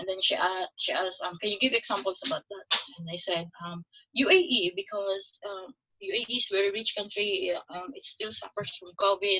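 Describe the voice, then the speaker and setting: A woman with a Filipino accent, big swings in loudness and a moderate pace. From Philippines, Davao. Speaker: nurse. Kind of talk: testimony.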